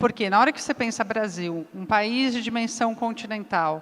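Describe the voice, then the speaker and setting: A woman's fairly high voice at a fairly slow pace with ordinary pitch variation. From southern Brazil, Curitiba. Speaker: business executive, panelist. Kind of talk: panel discussion.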